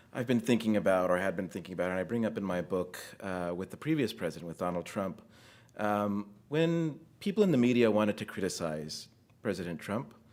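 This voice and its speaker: A man with an American accent, fairly low in pitch, with lively intonation and a fairly quick pace, on a very clean recording with a silent background. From United States. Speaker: theologian and author. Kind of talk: academic talk at book launch. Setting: room with live audience.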